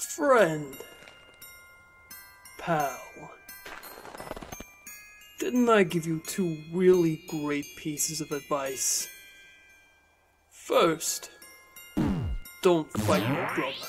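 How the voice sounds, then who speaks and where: In a put-on character voice at a middle pitch, the speaker goes at a very slow pace with long, frequent pauses while faint music plays in the background. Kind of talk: comic dub. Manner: cold, threatening.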